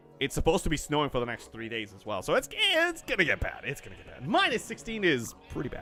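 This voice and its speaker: With music in the background, a man with a fairly high pitch speaks at a very fast pace. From Canada. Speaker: gaming livestreamer. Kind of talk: casual livestream chat. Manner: halting, many fillers.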